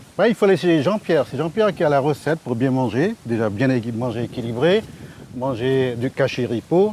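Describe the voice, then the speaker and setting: A man speaks with lively intonation at a moderate pace while noticeable background noise carries on behind him. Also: medium pitch for a man. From French Guiana (Amerindian, born Yalimapo, raised Saint-Laurent). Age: 60s. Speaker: village resident, trainer. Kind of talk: casual interview. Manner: hesitant, many fillers.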